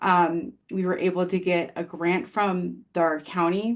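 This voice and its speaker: Over a quiet background, a woman with fairly low pitch and fairly even intonation has an unremarkable speaking voice. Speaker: occupational therapist presenter. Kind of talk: webinar presentation and Q&A.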